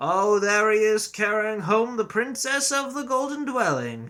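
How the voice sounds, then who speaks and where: A man uses a put-on character voice at a high pitch. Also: moderate pace. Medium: read story. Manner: ominous, gossiping.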